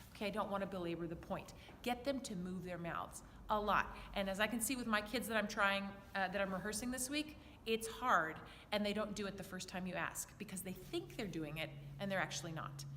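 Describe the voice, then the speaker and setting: An animated tone and ordinary pitch variation come through at a fairly quick pace, with audible room echo around the voice. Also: woman, medium pitch for a woman. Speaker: children's choir director. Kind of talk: tutorial. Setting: church.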